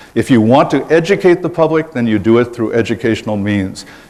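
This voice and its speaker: Over noticeable background noise, a man talks at a fairly quick pace with lively intonation and a medium pitch. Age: 60s. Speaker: political candidate. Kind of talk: campaign speech.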